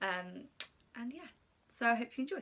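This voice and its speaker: A woman with a southern English accent speaks in a bright, sharp tone. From England, Slough (west of London). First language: Polish. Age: 20s. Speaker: YouTuber. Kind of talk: casual chat. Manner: hesitant, many fillers.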